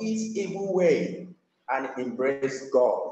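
With a Nigerian accent, a man speaks very slowly in a high pitch, using lively intonation. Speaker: evangelist. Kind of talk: sermon, exhortation. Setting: remote over the internet, weak connection.

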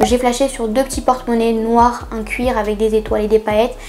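A woman speaks at a fairly high pitch with monotone, flat intonation. Light background noise can be heard. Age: 20s. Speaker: YouTuber. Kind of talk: shopping haul vlog. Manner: casual, chatty. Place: home room.

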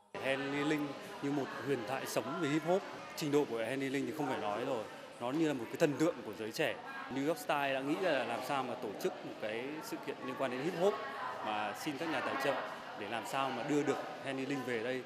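Over clear background music, a man talks at a very fast pace. His pitch varies in an ordinary way. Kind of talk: interview answer. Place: gym.

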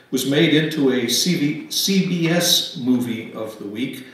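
With strong room echo, a man speaks at a fairly slow pace and medium pitch, his tone fairly bright and his intonation lively.

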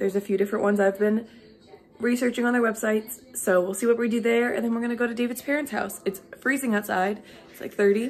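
A woman speaks at a fairly quick pace with fairly high pitch. Her tone is slightly mellow and her intonation fairly even.

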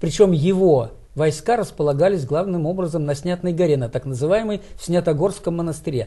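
A man's high-pitched voice with ordinary pitch variation, at a fairly quick pace. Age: 70s. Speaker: writer, poet and professor. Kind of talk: interview answers. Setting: TV studio.

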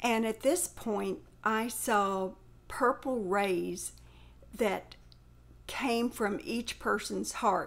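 Marked by vocal fry, the voice moves at a very slow pace with long, frequent pauses. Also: woman, fairly high pitch for a woman, ordinary pitch variation. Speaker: spiritual author and channeler. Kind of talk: channeled angel message read aloud as gentle guided meditation. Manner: slow, soothing, invocational cadence with imperative breathing cues; casual, hesitant narration with frequent um fillers. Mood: calm, earnest. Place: kitchen. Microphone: phone near.

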